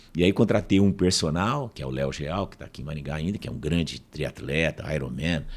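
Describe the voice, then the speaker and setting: A man's voice with vocal fry. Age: 60s. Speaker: professor and speaker. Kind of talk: casual interview storytelling.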